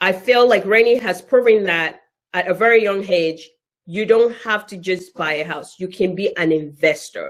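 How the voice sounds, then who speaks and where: A woman's animated voice with a Nigerian accent, medium pitch, ordinary pitch variation, big swings in loudness, and a moderate pace. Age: 30s. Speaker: event facilitator. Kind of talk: live online event chat.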